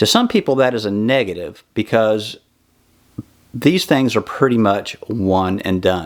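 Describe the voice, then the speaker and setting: At a fairly slow pace, a man talks in an ordinary speaking voice, pitched fairly low with ordinary pitch variation. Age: 50s. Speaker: bowhunting YouTuber. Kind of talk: equipment review tutorial. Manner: casual, with frequent fillers.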